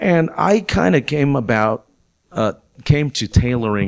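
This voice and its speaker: At a moderate speed, a man talks with very wide swings in pitch. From Mexico, raised in Albuquerque. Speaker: guest actor and storyteller host. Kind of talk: casual comedic chat. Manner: jokey, good-humored.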